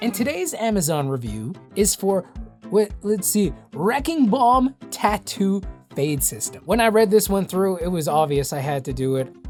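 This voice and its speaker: Music plays in the background as a woman in a relaxed tone speaks at a moderate pace and medium pitch, with very wide pitch swings. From Saskatchewan, Canada. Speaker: voice actor. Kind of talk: voice-over tutorial talk to camera. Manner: casual, relaxed.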